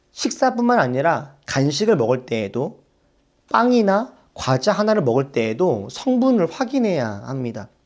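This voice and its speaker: In a very clean recording with a silent background, a man speaks at a fairly high pitch with very wide pitch swings. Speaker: pastor. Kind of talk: sermon.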